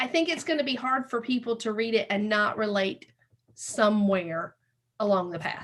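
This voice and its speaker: A woman with a Southern US accent, fairly high-pitched, at a moderate pace with lively intonation. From US South. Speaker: podcast host. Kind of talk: interview.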